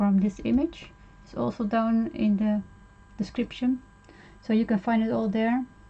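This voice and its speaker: With a non-native accent, a woman speaks at a fairly high pitch in a somewhat breathy voice. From Netherlands. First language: Dutch. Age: 50s. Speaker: art tutorial streamer. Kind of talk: tutorial. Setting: live stream. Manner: halting, many fillers.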